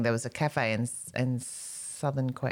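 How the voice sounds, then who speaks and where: A woman with an Australian accent and a very deep, low pitch, in a very clean recording with a silent background. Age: 50s. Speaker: comedian. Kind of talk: casual chat.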